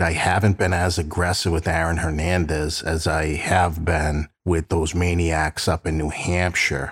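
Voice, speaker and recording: A man with an American accent speaks at a fairly slow pace in a very deep, low, somewhat breathy voice. The recording is very clean, with a silent background. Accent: Boston, slight to moderate. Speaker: true crime podcast host and private investigator. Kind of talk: casual storytelling podcast narration. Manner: conversational, friendly.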